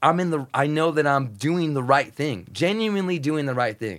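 The recording of this man is very clean, with total silence behind him. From US, Mexican-American family. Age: 40s. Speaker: radio host and music programmer. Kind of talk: casual chat. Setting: home garage. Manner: animated.

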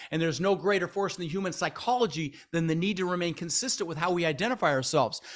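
A man with an American accent, very fast and high-pitched, with an animated tone, ordinary pitch variation and hardly any pauses. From Denver, Colorado, US. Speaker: real estate investor and podcast host. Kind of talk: interview. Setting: studio.

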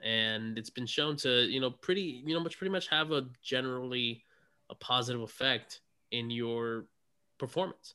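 A man speaks with an unremarkable speaking voice. His pace is moderate and his pitch varies in an ordinary way. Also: medium pitch for a man. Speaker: podcast host, gym trainer. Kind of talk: casual chat.

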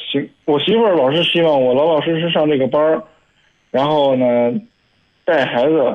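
This man's fairly high voice shows ordinary pitch variation as he talks at a moderate pace. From Hebei, Shijiazhuang. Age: 20s. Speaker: caller. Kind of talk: phone-in conversation. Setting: phone call.

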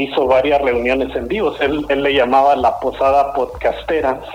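Noticeable background noise sits behind a man with a fairly high pitch. He talks at a moderate pace with fairly even intonation. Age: 40s. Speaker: podcast host. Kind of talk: radio interview.

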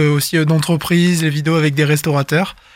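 Over a silent background in a very clean recording, a man speaks at a fairly high pitch in a monotone, flat delivery. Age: 20s. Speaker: guest interviewee. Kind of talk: casual interview. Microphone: good studio microphone.

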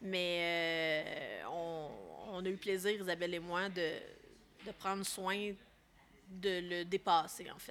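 Very slow and at a fairly low pitch, a woman speaks in a monotone, flat intonation, with long, frequent pauses and big swings in loudness. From Quebec, Laurentides. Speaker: film director. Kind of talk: casual interview.

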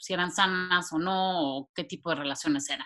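At a fairly quick pace, a woman talks with a bright, sharp tone and a fairly low pitch. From Mexico City. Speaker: social scientist, therapist. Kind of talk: casual interview conversation.

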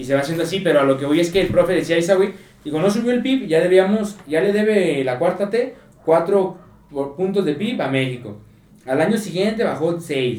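Lively intonation marks this man's high voice as he talks at a fairly quick pace with a Mexican accent. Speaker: podcast co-host. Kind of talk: casual chat.

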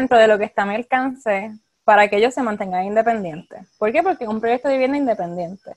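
A woman with a plain, everyday voice, ordinary pitch variation, and a quiet background. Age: 20s. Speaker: clinical social worker. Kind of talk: interview.

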